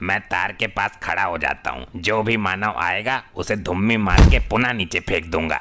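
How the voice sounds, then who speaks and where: A man puts on a character voice pitched fairly low. He keeps a moderate pace with hardly any pauses. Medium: comedy sketch.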